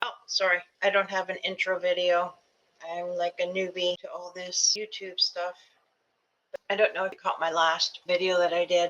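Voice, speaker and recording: Speaking at a moderate pace, a woman with a fairly low pitch keeps a monotone, flat intonation and leaves long, frequent pauses. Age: 60s. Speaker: YouTuber and ADHD coach. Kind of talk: casual vlog. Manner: halting.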